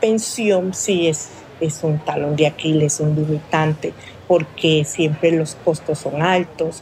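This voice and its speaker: Very slow speech from a woman over noticeable background noise. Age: 50s. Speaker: fish vendor and processor. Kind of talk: interview testimony. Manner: hesitant, with fillers.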